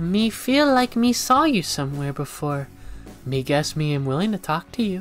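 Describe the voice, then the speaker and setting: A put-on character voice at a middle pitch plays over clear music in the background. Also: moderate pace. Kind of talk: broken speech, third-person 'me'. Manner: slow, dim-witted.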